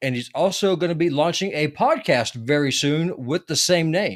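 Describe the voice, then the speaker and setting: A man speaks with a Southern US accent. His pace is moderate and his intonation lively. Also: very clean recording, silent background. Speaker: podcast host. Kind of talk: casual interview chat. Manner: halting, many fillers.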